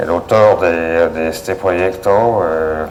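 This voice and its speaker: Amid noticeable background noise and audible room echo, a man with a very deep, low pitch talks with fairly even intonation. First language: French (speaking Spanish). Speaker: hydroelectric engineer. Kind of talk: lecture. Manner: halting, many fillers.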